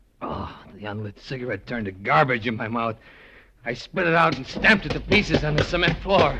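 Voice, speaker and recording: Pitch swings very widely as the speaker talks at a fairly quick pace. Background noise is noticeable. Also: man, medium pitch for a man. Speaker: radio drama actor. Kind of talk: radio drama first-person narration and acting.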